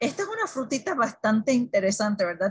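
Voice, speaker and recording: A woman with a fairly high, somewhat breathy voice speaks against a quiet background. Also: dry sound with no echo. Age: 60s. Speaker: wellness product presenter and moderator; presenter, moderator. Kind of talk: instructional talk on a weekly online meeting. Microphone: video call.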